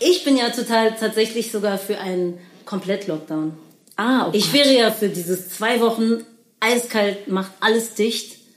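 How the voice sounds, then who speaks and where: Against noticeable background noise, a woman speaks at a moderate pace with a fairly high pitch and ordinary pitch variation. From Berlin. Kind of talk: casual chat.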